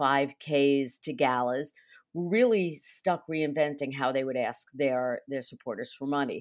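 With a New York accent, a woman speaks at a very deep, low pitch with ordinary pitch variation. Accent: New York, noticeable. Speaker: nonprofit fundraising consultant. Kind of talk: interview.

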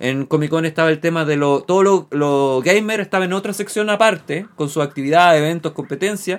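A man with a Chilean accent talks at a fairly quick pace. His pitch is fairly high, with ordinary variation. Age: 30s. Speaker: radio show host. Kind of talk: casual chat. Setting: studio.

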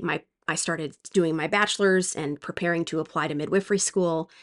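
With an ordinary speaking voice, a woman talks at a fairly quick pace in a fairly low pitch, her intonation fairly even. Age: 40s. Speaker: childbirth educator and former nurse. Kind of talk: solo podcast monologue.

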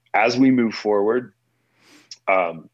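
The speaker is a man. He has an American accent. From US Midwest, St. Louis. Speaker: music venue founder. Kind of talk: interview.

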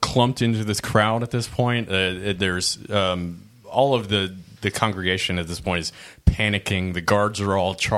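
Plain reading aloud. The pitch variation is ordinary.

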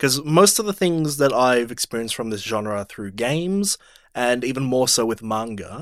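With a normal speaking voice, a man talks at medium pitch and a moderate pace with lively intonation, recorded very cleanly against a silent background. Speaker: podcast host, movie discussion. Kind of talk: casual chat, banter.

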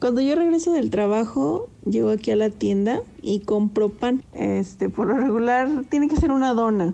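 A woman's fairly high voice with lively intonation at a moderate pace, hardly any pauses, very even loudness, and noticeable background noise. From Mexico, Zacatecas. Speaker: pet owner, quality department worker. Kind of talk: personal anecdote, casual.

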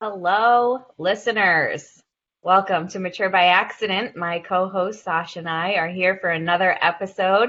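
At a moderate pace, a woman with an ordinary speaking voice talks in a medium range, her intonation fairly even. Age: 30s. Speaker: podcast co-host. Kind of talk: casual chat.

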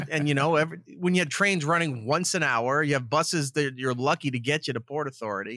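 Bright and sharp in tone, a man with a New York accent talks at a fairly quick pace on a very clean recording with a silent background. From Long Island, New York. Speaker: radio producer. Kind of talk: casual chat.

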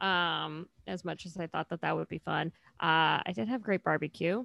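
With a plain, everyday voice, a woman with an American accent speaks at a moderate pace with lively intonation, in a dry, close sound with no echo on a very clean recording with a silent background. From California. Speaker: podcast co-host. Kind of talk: casual chat.

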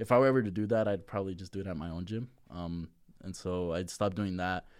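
A very fast, very deep, low-pitched man's voice with an American accent and fairly even intonation, in a very clean recording with a silent background. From Las Vegas, US West. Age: 20s. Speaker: powerlifter. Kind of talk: casual chat.

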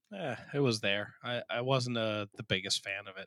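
An unremarkable speaking voice from a man, fairly slow, with ordinary pitch variation. The sound is dry and close with no echo, on a very clean recording with a silent background. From New Jersey. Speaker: podcast host. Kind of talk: casual chat.

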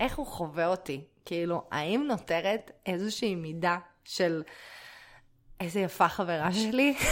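A woman with a fairly low voice speaks at a fairly slow pace, leaving long, frequent pauses. Her intonation is lively. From Israel. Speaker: podcast co-host, performer. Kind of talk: casual chat. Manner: animated.

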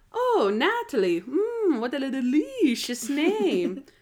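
A woman puts on a character voice at a high pitch. She speaks at a very slow pace with very wide pitch swings. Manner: seductive, theatrical.

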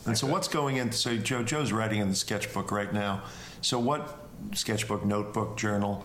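Over noticeable background noise, a man talks at a moderate pace in a fairly low pitch, with ordinary pitch variation and very even loudness. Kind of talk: casual chat. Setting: Airbnb, recorded live.

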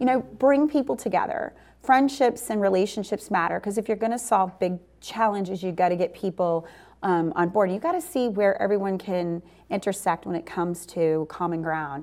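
A normal speaking voice with an American accent moves at a moderate pace with lively intonation, recorded very cleanly against a silent background. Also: woman, medium pitch for a woman. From New Orleans, US South. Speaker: energy company founder and CEO. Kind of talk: interview conversation.

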